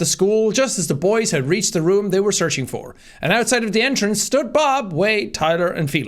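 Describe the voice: Simply plain reading aloud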